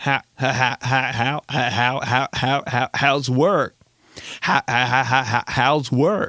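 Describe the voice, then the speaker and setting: A man does a robotic put-on character voice at a medium pitch and a very slow pace. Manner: robotic small-talk delivery.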